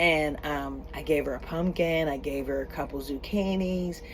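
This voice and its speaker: A woman speaks with very deep, low pitch and ordinary pitch variation. Audible room echo and noticeable background noise surround her voice. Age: 50s. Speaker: homesteader and church co-founder. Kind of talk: casual vlog talk to camera. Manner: hesitant, many fillers.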